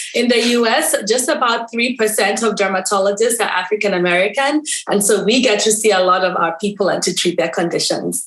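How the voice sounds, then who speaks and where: A woman speaks with a Kenyan accent at a fairly quick pace, with hardly any pauses. Her loudness stays very even, with ordinary pitch variation. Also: medium pitch for a woman. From Kenya, Nairobi. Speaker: dermatologist. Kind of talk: interview guest.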